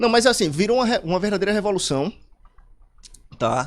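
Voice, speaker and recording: This man's pitch is high and his intonation lively. He talks at a fairly quick pace. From Pernambuco, Brazil. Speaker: computer science specialist. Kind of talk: radio interview.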